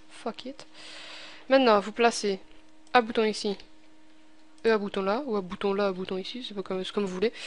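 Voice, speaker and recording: Speaking with a Belgian accent, a woman talks at a fairly quick pace and a medium pitch with fairly even intonation. Her loudness swings widely, and her pauses are long and frequent. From Belgium. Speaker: gaming tutorial youtuber. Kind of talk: tutorial. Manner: casual, hesitant with many fillers.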